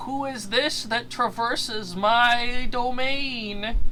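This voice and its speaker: A female-sounding, high-pitched put-on character voice. It speaks at a very slow pace. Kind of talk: archaic, formal.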